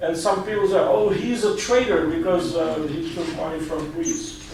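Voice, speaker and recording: Noticeable background noise and audible room echo surround a man who speaks at a moderate pace with ordinary pitch variation. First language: Albanian. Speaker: journalist and author. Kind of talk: talk with Q&A. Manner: halting.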